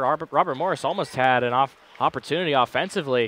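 This is a man speaking. The sound is dry, with no echo. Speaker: play-by-play announcer; play-by-play commentator. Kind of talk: live commentary. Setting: arena broadcast. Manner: animated. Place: stadium.

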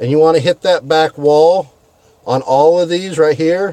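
The sound is dry, with no echo. A man speaks at a fairly slow pace. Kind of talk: casual vlog chat, tutorial. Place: car. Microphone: phone near.

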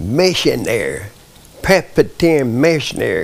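The speaker talks at a very slow pace with a Southern US accent. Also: man. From US South, Arkansas. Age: 90s. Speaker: war veteran. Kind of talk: interview testimony. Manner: halting. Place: home room. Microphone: lapel.

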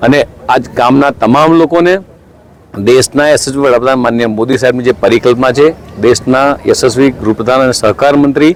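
A man with an unremarkable speaking voice talks at a medium pitch, with fairly even intonation and very even loudness. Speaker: state minister. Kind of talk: speech to reporters.

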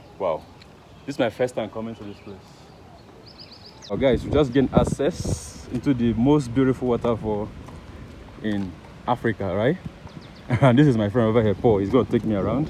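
Speech comes at a fairly quick pace with ordinary pitch variation and big swings in loudness. The sound is dry with no echo, and there is noticeable background noise. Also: man. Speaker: travel vlogger. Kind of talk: casual vlog chat. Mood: cheerful, excited. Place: open country. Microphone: phone near.

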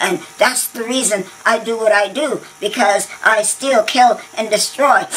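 A put-on character voice, female-sounding and fairly high in pitch, at a fairly slow pace. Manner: stammering, nervous, excitable.

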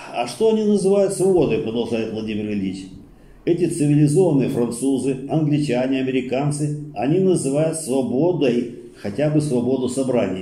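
Somewhat breathy, a man speaks with lively intonation and a dark, mellow tone amid audible room echo. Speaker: study circle leader. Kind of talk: reading aloud. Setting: study circle recording. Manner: formal, steady lecturing delivery; slow, measured, declamatory. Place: meeting room.

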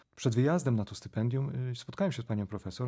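A man talks at a very fast pace, his tone dark and mellow and somewhat breathy. His pitch varies in an ordinary way over a quiet background. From Poland, Żnin (Pałuki, Greater Poland); Poland. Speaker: theatre scholar and professor; professor, podcast guest. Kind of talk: interview. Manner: halting, with many repetitions. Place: studio. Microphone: studio mic.

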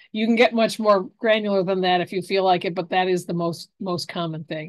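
Her intonation fairly even, a woman talks at a very fast pace with a quiet background. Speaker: extension professor, horticulture and pest management; university extension educator. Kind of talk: webinar lecture. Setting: video call webinar. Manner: fast talker. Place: home room. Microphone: webcam.

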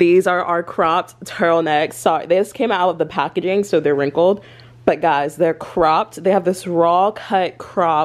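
A woman's fairly low voice at a moderate pace, with very even loudness and fairly even intonation. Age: 20s. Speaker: vlogger; lifestyle vlogger. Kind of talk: casual vlog talk to camera. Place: home room. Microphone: phone near.

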